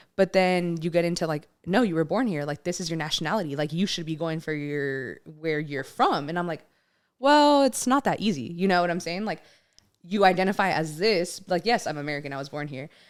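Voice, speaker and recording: Speaking at a fairly quick pace, a woman uses lively intonation and a fairly low pitch on a very clean recording with a silent background. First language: Spanish. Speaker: podcast co-host. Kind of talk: casual chat.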